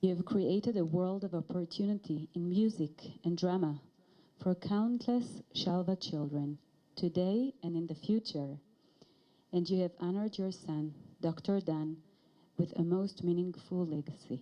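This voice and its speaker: In an Israeli accent, a woman speaks at a moderate pace with a fairly low pitch, ordinary pitch variation and a dark, mellow tone. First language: Hebrew. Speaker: director of education and research. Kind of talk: ceremony speech.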